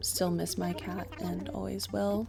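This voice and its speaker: Noticeable background noise fills the recording. A woman talks through it at a moderate pace. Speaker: gaming vlogger. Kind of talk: personal vlog.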